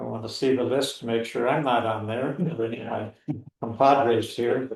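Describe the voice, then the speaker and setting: A man's medium-pitched voice with fairly even intonation and audible room echo. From South Dakota. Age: 80s+. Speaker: podcast co-host, retired Marine. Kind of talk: casual chat. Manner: halting, many fillers.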